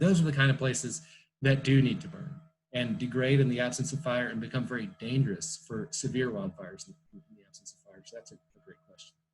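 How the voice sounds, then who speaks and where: Somewhat breathy medium-pitched male voice, fairly quick, with lively intonation and big swings in loudness. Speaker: field biologist. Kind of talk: online talk Q&A. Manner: fast.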